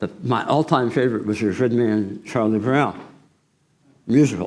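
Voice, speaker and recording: Moderate pace, ordinary pitch variation, and audible room echo. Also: man, medium pitch for a man. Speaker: guest preacher. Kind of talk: sermon. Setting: church.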